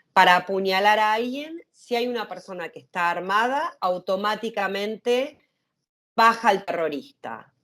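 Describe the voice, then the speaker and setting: On a very clean recording with a silent background, a woman speaks at medium pitch. Her pace is fairly slow and her intonation lively. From Argentina. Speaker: activist. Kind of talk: interview conversation. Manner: hesitant.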